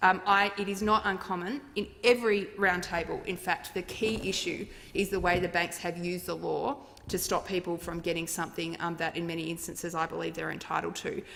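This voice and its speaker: With noticeable background noise behind her, a woman speaks at a fairly quick pace in a medium pitch with fairly even intonation. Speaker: member of parliament. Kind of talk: parliamentary adjournment speech. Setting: parliament chamber.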